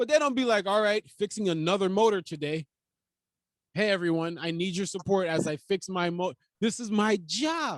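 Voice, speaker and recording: In a Jamaican accent, the speaker uses lively intonation at a moderate pace on a very clean recording with a silent background and a dry, close sound with no echo. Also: man, high pitch for a man. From Jamaica and New York. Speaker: comedian. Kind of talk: casual chat.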